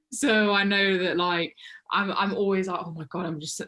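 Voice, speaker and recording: An animated, bright, sharp tone from a woman with fairly low pitch. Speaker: podcast co-host. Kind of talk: casual chat. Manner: animated, many fillers.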